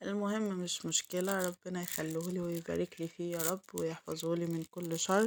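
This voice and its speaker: A woman talks in a fairly low pitch, her intonation monotone and flat. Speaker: home vlogger, mother. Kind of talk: casual vlog narration. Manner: halting, many fillers.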